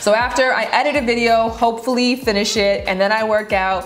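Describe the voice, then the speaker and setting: Noticeable background noise behind a woman, her pitch varying in an ordinary way. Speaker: YouTuber. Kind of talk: casual vlog narration.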